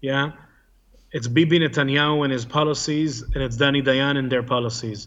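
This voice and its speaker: In an Israeli accent, a man talks at a moderate pace with a fairly high pitch. His intonation is fairly even. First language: Hebrew. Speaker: former soldier turned activist. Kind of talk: interview.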